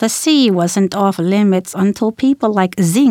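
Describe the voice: Simple read-aloud delivery.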